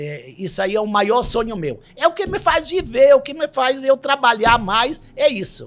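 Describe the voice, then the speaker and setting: Loudness rises and falls sharply, with very wide pitch swings. The pace is moderate, with hardly any pauses. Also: man, extremely high pitch for a man. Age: 60s. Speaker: farmer and rural business owner. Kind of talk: interview. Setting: studio.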